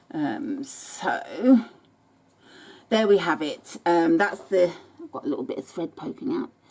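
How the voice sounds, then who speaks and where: A woman at a fairly slow pace, with very wide pitch swings and long, frequent pauses. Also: medium pitch for a woman. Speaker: sewing tutorial maker. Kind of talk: tutorial. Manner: halting, with frequent ums.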